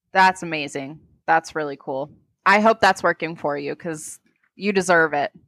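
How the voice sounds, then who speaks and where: A woman with an American accent speaks at a moderate pace in a fairly low pitch, with ordinary pitch variation and big swings in loudness. The sound is dry and close with no echo, on a very clean recording with a silent background. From North Carolina. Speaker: podcast host. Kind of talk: casual chat. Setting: home recording at computer. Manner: animated.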